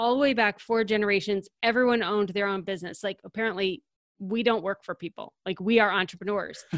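On a very clean recording with a silent background and a dry, close sound with no echo, a woman speaks fairly quickly and fairly high in a normal speaking voice. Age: 40s. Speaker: organizing company founder and podcaster. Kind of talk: interview.

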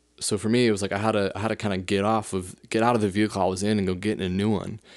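A man speaks in a fairly low pitch with an American accent. His intonation is monotone and flat. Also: quiet background. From US West, South Lake Tahoe, California. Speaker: podcast host. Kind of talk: solo monologue, casual. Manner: hesitant, filler-heavy.

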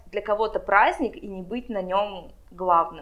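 A woman is speaking. Her pace is moderate. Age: 20s. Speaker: wedding planner. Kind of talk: interview.

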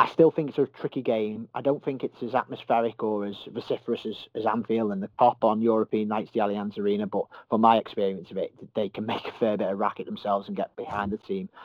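A man in a Merseyside accent, very fast, with fairly low pitch and fairly even intonation. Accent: Merseyside (Scouse). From Merseyside, England. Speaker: football journalist. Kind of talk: casual interview.

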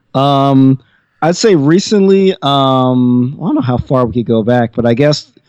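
At a fairly slow pace, a man talks at a medium pitch with ordinary pitch variation, an unremarkable speaking voice. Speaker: podcast guest. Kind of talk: casual chat.

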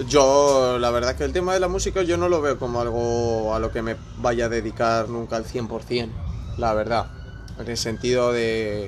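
Audible room echo follows a man speaking fairly slowly at medium pitch. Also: ordinary pitch variation. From Spain. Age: 20s. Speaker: aspiring musician, former DJ. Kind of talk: casual chat.

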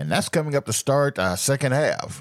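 Pitched fairly high, a man talks at a moderate pace with very wide pitch swings, the sound dry and close with no echo. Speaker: gospel radio host. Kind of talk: radio dj patter. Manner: animated.

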